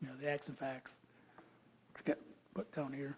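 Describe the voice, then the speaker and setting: The man's tone is dark and mellow. He talks with an American accent. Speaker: geologist and creation science speaker. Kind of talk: lecture. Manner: fast; casual and joking.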